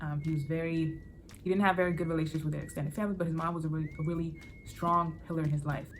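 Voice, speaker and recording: Very fast and in an American accent, a woman speaks at a very deep, low pitch in a monotone, flat intonation, with audible room echo. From born in Benin, raised in US from age seven. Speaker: book YouTuber. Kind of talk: casual vlog talk. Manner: casual, with many fillers and restarts.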